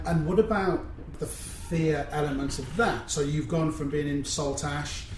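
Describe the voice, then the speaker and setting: Over noticeable background noise and audible room echo, a man with a West Country accent talks at a fairly slow pace, his fairly high pitch showing ordinary variation. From England, Cornwall. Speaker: podcast host. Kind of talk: interview.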